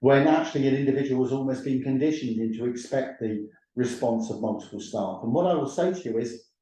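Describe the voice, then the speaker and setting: A man's voice with a dark, mellow tone at a medium pitch and a very fast pace. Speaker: professor and training organisation CEO. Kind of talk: webinar lecture. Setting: online webinar with screen share. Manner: loud.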